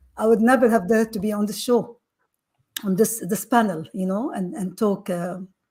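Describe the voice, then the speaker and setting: A dark, mellow, somewhat breathy tone at a moderate pace, with ordinary pitch variation. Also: woman, fairly high pitch for a woman. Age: 60s. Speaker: panel guest. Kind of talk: panel discussion.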